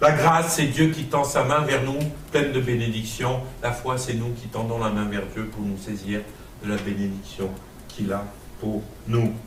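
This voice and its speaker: With noticeable background noise and audible room echo, a man speaks at a fairly slow pace in an animated tone, his medium pitch showing ordinary variation and his speech broken by long, frequent pauses. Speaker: pastor / Bible teacher. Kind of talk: teaching sermon to a class. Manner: animated, interactive.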